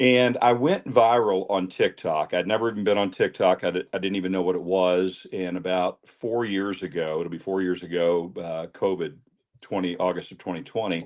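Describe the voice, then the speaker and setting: With an American accent, a man talks at a very deep, low pitch with ordinary pitch variation and hardly any pauses. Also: moderate pace. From Kentucky, Louisville. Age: 60s. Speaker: bourbon reviewer and club founder. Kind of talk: interview.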